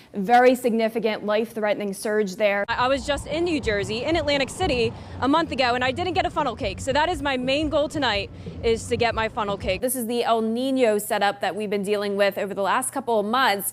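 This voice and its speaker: Over noticeable background noise, a woman speaks at a very fast pace in a fairly high pitch with lively intonation. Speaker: TV meteorologist. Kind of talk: TV weather broadcast.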